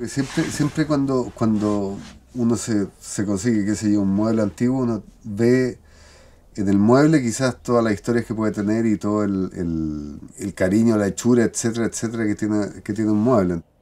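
A man with a Chilean accent, a fairly low pitch and a dark, mellow tone. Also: ordinary pitch variation, moderate pace. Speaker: self-builder and craftsman; interviewee. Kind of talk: interview testimony. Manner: halting. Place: home room.

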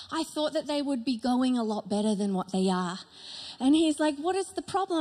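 Speaking at a fairly quick pace, a woman uses a high pitch. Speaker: pastor. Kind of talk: sermon. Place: stage. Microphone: handheld.

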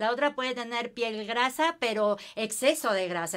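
Against a quiet background, a woman talks at a moderate pace with a fairly high pitch and ordinary pitch variation. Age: 50s. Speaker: skin care consultant; guest. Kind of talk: casual chat. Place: empty room.

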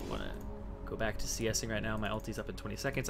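A man at a very fast pace with ordinary pitch variation, music in the background. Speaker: gaming commentator. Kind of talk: gameplay guide commentary.

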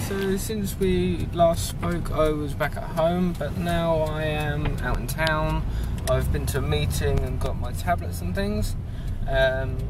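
A man speaks at a fairly slow pace. The sound is dry with no echo, but loud background noise runs underneath. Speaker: vlogger. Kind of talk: casual vlog chat. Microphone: phone near.

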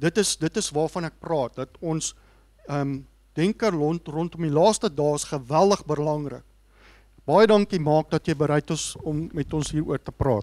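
With a South African accent, a man speaks at a fairly high pitch in a dark, mellow tone. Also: ordinary pitch variation, moderate pace. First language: Afrikaans. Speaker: seminar organizer and moderator. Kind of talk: speech introduction. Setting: stage with audience. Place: hall. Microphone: handheld.

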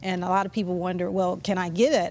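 A woman talks at a fairly quick pace and a medium pitch. Light background noise is present. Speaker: breast surgical oncologist. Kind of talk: expert explanation on a panel. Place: studio. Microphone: lapel.

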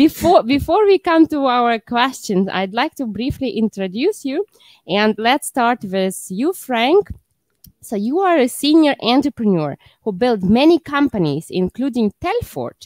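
A woman with a high pitch and very wide pitch swings, at a fairly slow pace, dry with no echo over a quiet background. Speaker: show host. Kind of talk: host introduction. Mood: friendly, laughing. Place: studio. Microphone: headset.

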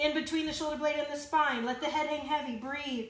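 A woman's raised, projected voice carries fairly even intonation, with audible room echo. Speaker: fitness instructor. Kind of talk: workout instruction. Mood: encouraging, warm. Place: home room. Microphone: phone near.

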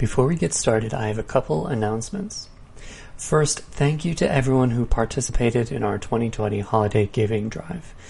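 Lively intonation from a man at a medium pitch, somewhat breathy, with a dark, mellow tone and a fairly quick pace. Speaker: podcast announcer. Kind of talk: announcements and scripted intro.

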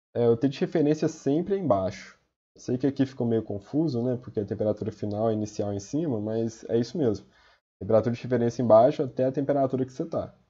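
Talking very fast, a man has a somewhat breathy, medium-pitched voice with ordinary pitch variation. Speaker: student tutor. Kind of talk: tutorial. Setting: recorded video with slides. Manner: casual.

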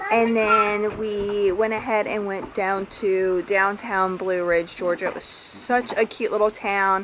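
A woman talks fairly slowly with fairly level intonation while noticeable noise fills the background. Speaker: family vlogger. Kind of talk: casual vlog chat. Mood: relaxed, happy. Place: garden. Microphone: phone near.

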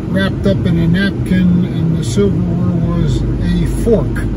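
A man's voice comes through dry, with no echo, over loud background noise. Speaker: restaurant reviewer vlogger. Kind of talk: casual vlog chat. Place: car. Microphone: phone near.

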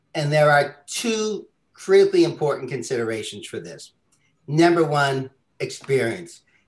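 A man speaks at a moderate pace with a quiet background. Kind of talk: webinar moderation. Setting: video call. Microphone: webcam.

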